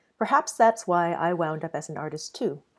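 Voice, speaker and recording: In a very clean recording with a silent background, a woman with a Mandarin accent speaks at a fairly quick pace with ordinary pitch variation. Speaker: artist. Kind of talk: reading aloud.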